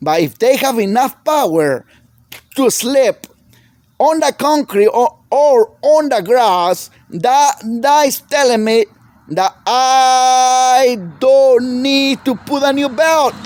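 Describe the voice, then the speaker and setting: A man with a strong non-native accent speaks very slowly at an extremely high pitch, with ordinary pitch variation, very even loudness, and a dry, close sound with no echo. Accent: heavy foreign. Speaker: small engine repair mechanic. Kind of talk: tutorial. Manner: halting.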